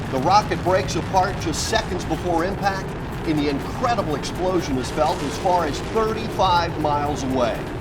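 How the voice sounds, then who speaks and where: Against music in the background, a man speaks in a high pitch at a moderate pace with ordinary pitch variation. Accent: American. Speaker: TV news anchor and host. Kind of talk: TV news report.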